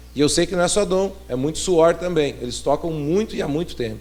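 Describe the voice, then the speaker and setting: Audible room echo follows a man's fairly high-pitched voice as it moves with ordinary pitch variation. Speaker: pastor. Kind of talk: sermon. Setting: church. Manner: fast.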